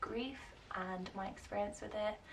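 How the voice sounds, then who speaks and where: Woman's voice over noticeable background noise. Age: 20s. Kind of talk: casual talk to camera.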